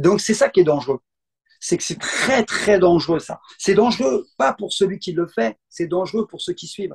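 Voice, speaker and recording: At a moderate pace, a man speaks in an animated tone with ordinary pitch variation, in a dry, close sound with no echo. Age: 60s. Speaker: martial arts and self-defense instructor. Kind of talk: interview. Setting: video call.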